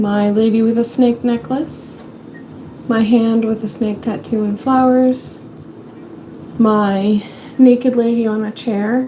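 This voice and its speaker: A woman speaks very slowly, her pitch fairly high and her intonation monotone and flat. Background noise is noticeable. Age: 20s. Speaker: livestreamer. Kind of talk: casual chat. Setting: home livestream.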